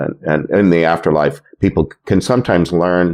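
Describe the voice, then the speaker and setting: With a very deep, low pitch, a man speaks in a fairly even intonation. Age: 60s. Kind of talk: interview conversation. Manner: halting, many fillers and repetitions.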